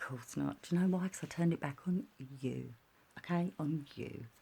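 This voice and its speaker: Quietly and at a fairly quick pace, a woman speaks with a dark, mellow tone. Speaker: vlogger. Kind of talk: personal rant vlog. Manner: talking quietly; animated.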